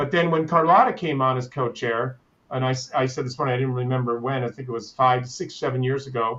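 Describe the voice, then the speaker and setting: An unremarkable speaking voice belongs to a man at medium pitch. He talks at a fairly quick pace with fairly even intonation. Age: 60s. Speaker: business consultant. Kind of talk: panel discussion.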